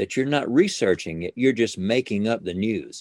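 In a dry, close sound with no echo, a man uses an ordinary speaking voice, fairly low in pitch, with lively intonation. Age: 60s. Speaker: ventriloquist. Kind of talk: casual interview chat. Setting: video call.

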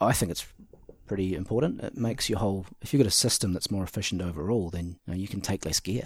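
Talking at a very fast pace with a New Zealand accent, a man has a fairly low, somewhat breathy voice with ordinary pitch variation. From New Zealand, Central Otago. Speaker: hunting outfitter and entrepreneur. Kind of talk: casual interview. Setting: at the guest's house.

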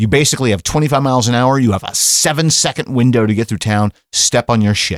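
Speaking with an American accent, a man talks at a fairly quick pace in a medium pitch with ordinary pitch variation. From Vermont, US. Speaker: podcast guest, trained radio DJ. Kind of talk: casual chat.

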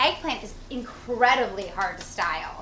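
A high-pitched woman's voice with ordinary pitch variation, set against noticeable background noise. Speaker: chef and food stylist host. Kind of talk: casual cooking show chat. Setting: home kitchen apartment.

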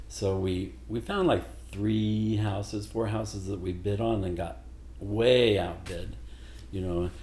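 Very deep and low, a somewhat breathy man's voice with an American accent moves at a fairly slow pace with lively intonation, and room echo is audible. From Missouri, Joplin. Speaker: singer. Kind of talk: casual chat.

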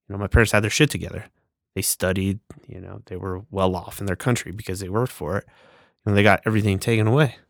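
Talking very fast with fairly even intonation, a man with a fairly low pitch comes through a very clean recording with a silent background and a dry, close sound with no echo. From Nicaragua. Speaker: natural bodybuilder. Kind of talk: casual chat.

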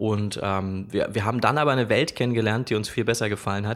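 The man's voice has a medium pitch. His intonation is fairly even. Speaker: wedding photographer. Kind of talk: casual chat.

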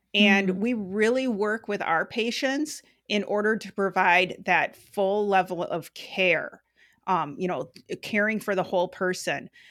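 With an unremarkable speaking voice, a woman speaks at medium pitch and a fairly slow pace on a very clean recording with a silent background. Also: ordinary pitch variation. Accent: American. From Western Wisconsin. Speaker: health center finance executive. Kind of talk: interview.

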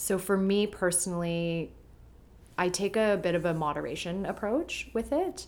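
Her plain, everyday voice has a Canadian accent, fairly low pitch for a woman, ordinary pitch variation and very even loudness. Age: 30s. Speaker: journalist and green beauty expert. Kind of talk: casual interview chat.

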